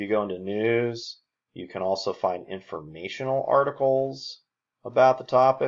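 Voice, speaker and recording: A man with a plain, everyday voice, medium pitch, lively intonation, moderate pace and big swings in loudness, set against a quiet background. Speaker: college English instructor. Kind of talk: tutorial.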